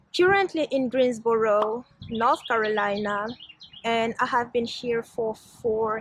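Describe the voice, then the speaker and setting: A woman speaks at a very slow pace with a non-native accent. Her pitch is fairly high. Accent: foreign. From Switzerland. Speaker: vlogger. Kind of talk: casual vlog talk. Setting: outdoors in a garden.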